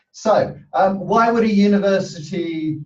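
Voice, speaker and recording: The man speaking has lively intonation. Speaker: university sustainability manager. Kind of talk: webinar presentation. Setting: online webinar. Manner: loud.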